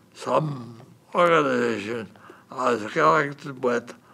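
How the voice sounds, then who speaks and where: A man speaking at a very slow pace, with noticeable background noise. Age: 80s+. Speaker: retiree, community volunteer. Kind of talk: personal testimony. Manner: halting, with fillers.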